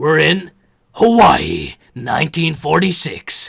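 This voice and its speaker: Putting on a raspy character voice, a man speaks very slowly at a fairly high pitch. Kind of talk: epic, theatrical.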